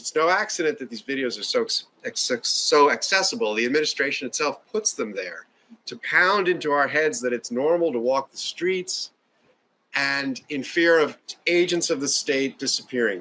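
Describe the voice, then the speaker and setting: The voice is bright and sharp in tone, at a moderate pace. Both pitch and loudness swing widely. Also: man. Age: 60s. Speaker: political event speaker. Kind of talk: political speech. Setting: house party with audience. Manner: earnest, impassioned.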